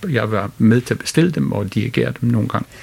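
This is a man with a medium pitch. He speaks with an English accent. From United Kingdom. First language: English (speaking Danish). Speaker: orchestra conductor. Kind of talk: interview. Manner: hesitant, many fillers.

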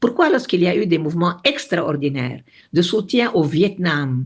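A woman's voice with very wide pitch swings. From Lebanon, Beirut. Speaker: retired diplomat. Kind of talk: interview.

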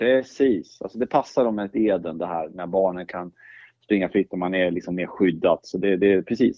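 This man's voice sits very deep and low in pitch, with ordinary pitch variation. He talks at a moderate pace. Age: old. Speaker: church movement leader, co-host. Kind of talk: casual conversation about faith.

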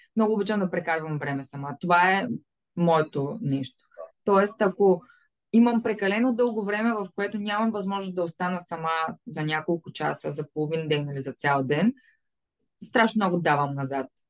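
A woman with a plain, everyday voice speaks at a fairly low pitch and a moderate pace, her intonation lively. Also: dry, close sound with no echo. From Bulgaria, Varna. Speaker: fashion business owner. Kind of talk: interview.

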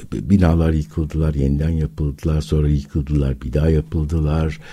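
A man talks at a very deep, low pitch. His intonation is fairly even. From Istanbul, Turkey. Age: 60s. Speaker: philosophy academic. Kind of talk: radio interview. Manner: hesitant, many filler sounds.

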